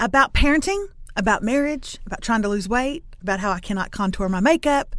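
A woman's animated, fairly quick speech in an East Texas accent, with ordinary pitch variation, on a very clean recording against a silent background. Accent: East Texas Southern. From East Texas (Lufkin). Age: 40s. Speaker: author and video creator. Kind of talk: interview.

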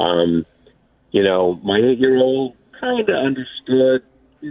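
A plain, everyday voice with lively intonation. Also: man. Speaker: sports reporter. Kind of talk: phone interview. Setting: phone call. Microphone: phone line.

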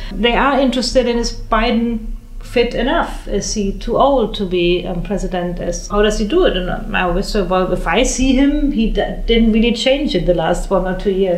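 Speaking at a moderate pace with a fairly high pitch and ordinary pitch variation, a woman is heard with audible room echo and noticeable background noise. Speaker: foreign correspondent. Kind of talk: panel discussion. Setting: press club.

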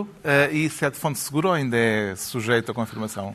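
A man's voice with ordinary pitch variation. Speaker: panel show moderator. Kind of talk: panel discussion.

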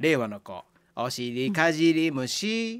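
In a Kansai accent, a man talks at a very slow pace and a fairly high pitch, with very wide pitch swings. The recording is very clean, with a silent background. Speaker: radio host. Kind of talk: casual chat.

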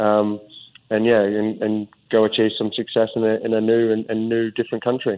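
A man with an Australian accent at a moderate pace, fairly low in pitch, monotone and flat, his loudness very even. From Australia (Melbourne). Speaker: professional footballer. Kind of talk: interview. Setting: phone call. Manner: halting, with many fillers and repeated words.

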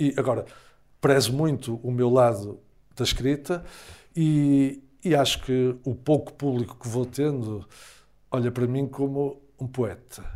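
In a very clean recording with a silent background, a man with a plain, everyday voice talks at a fairly slow pace, with medium pitch and ordinary pitch variation. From Portugal, Porto area (Gaia). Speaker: psychologist and academic. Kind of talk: interview.

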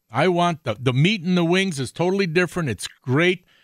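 In a normal speaking voice, a man talks at a moderate pace with fairly high pitch and lively intonation, recorded very cleanly with a silent background. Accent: American. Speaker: outdoors radio host. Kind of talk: live radio talk show. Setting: radio studio.

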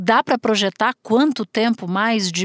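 With an unremarkable speaking voice and ordinary pitch variation, a woman is captured in a very clean, dry, close recording with no echo and a silent background. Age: 40s. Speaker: podcast host, journalist. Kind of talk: interview.

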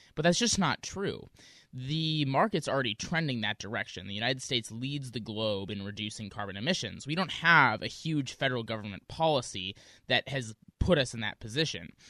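A man's plain, everyday voice with an American accent, medium in pitch, with lively intonation and a fairly quick pace. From US Midwest, Wisconsin. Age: 20s. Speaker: student activist. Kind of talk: radio interview.

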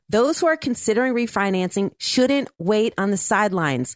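With an ordinary speaking voice, a woman speaks at a moderate pace against a quiet background. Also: dry, close sound with no echo. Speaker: radio host. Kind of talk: radio show host, with ad reads.

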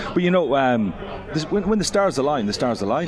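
Noticeable background noise sits under the recording. Over it, a man talks with lively intonation. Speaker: rugby club president. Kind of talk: radio interview. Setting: studio.

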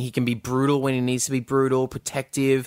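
Heard in a dry, close sound with no echo, a man speaks with an Australian accent. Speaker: film podcast host. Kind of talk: casual chat. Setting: video call.

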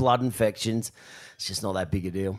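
A man with an Australian accent. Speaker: professional surfer. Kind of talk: live show storytelling. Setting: stage with audience.

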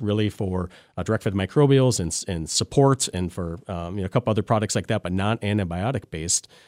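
On a very clean recording with a silent background, a man speaks at a fairly quick pace and fairly low pitch. His pitch variation is ordinary, and the sound is dry and close with no echo. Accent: Upper Midwest. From Wisconsin, Lancaster (southwest). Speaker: veterinarian. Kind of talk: interview. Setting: studio. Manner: halting, many fillers.

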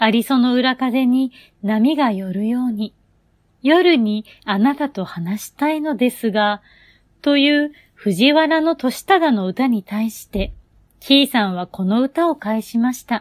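A woman with a high pitch, a calm tone and lively intonation at a fairly slow pace, on a very clean recording with a silent background and a dry, close sound with no echo. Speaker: comedian and poetry reader. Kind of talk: scripted narration. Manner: calm, quiet bedtime delivery.

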